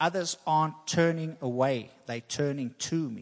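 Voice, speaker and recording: The speaker has a normal speaking voice, a fairly slow pace and fairly even intonation. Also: man. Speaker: preacher. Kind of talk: sermon. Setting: church.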